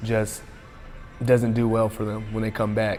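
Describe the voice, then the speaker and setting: Against music in the background and audible room echo, a man speaks at a medium pitch in monotone, flat intonation. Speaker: college football player. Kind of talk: interview. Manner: halting.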